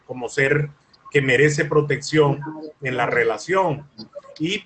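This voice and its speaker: A man with a plain, everyday voice talks at a fairly slow pace in a fairly high pitch. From Colombia. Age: 60s. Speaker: lawyer and mediator. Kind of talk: interview.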